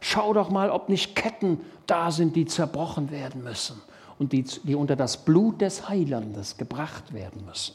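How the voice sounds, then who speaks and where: A man's fairly high voice with very wide pitch swings, vocal fry, an animated tone and a fairly slow pace. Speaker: preacher. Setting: church.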